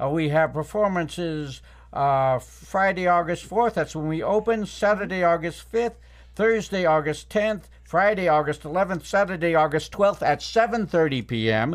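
On a very clean recording with a silent background, a man with an American accent speaks at a high pitch. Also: ordinary pitch variation, moderate pace. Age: 60s. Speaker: theater director. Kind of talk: casual chat. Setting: studio.

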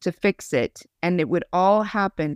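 This is a plain, everyday voice: a woman of medium pitch with an American accent and ordinary pitch variation. The recording is very clean, with a silent background and a dry, close sound with no echo. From Idaho. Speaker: podcast host. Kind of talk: faith podcast conversation.

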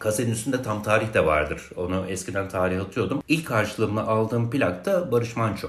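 At a fairly quick pace with hardly any pauses and ordinary pitch variation, the voice comes through audible room echo and noticeable background noise. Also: man, fairly low pitch for a man. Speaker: music archivist and writer. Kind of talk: casual interview chat.

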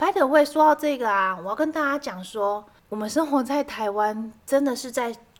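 This woman's voice sits high in pitch. She uses lively intonation. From southern Taiwan, Kaohsiung. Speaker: podcast co-host. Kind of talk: casual chat.

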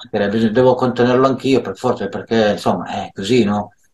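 With fairly even intonation, this man keeps to a mid-range pitch. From Milan, northern Italy. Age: 60s. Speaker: social care worker. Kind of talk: interview. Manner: halting, many fillers.

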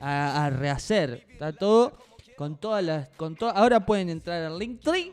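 This man speaks fairly slowly with lively intonation. His pitch sits high. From Uruguay, Colonia. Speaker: podcast co-host. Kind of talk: casual chat.

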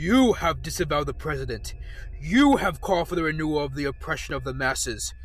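Menacing tone at a moderate pace over clear background noise. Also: man. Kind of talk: courtroom speech. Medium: read story. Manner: menacing, accusatory.

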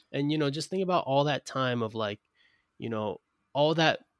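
A man with an American accent speaks at a moderate pace with ordinary pitch variation, in a dry, close sound with no echo on a very clean recording with a silent background. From US, Brooklyn, New York. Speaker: podcast host. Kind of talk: interview conversation. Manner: halting, many repetitions.

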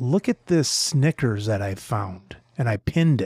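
A somewhat breathy, medium-pitched man at a fairly slow pace with very wide pitch swings, dry and close with no echo, on a very clean recording with a silent background. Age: 50s. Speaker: podcast host. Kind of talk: interview.

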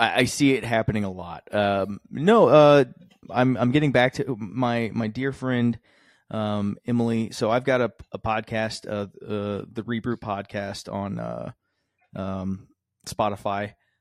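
Heard against a quiet background, a man with an unremarkable speaking voice and a medium pitch talks at a fairly slow pace with fairly even intonation, the sound dry and close with no echo. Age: 30s. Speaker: marketing director and streamer. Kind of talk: casual chat.

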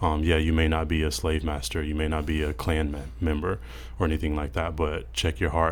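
Very deep and low, a man's voice with a Mississippi accent moves at a fairly quick pace with fairly even intonation. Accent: Southern US (Mississippi). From Mississippi, US South. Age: 20s. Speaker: church member, podcast guest. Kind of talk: casual discussion. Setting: studio.

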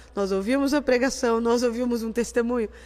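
In a very clean recording with a silent background, a woman talks at a high pitch. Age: 40s. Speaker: church music minister. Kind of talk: casual chat.

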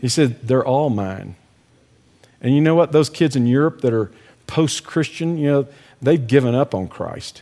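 A dark, mellow tone in an American accent at a moderate pace, very clean recording with a silent background. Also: man. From Texas. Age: 60s. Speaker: ministry director and speaker. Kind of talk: devotional talk.

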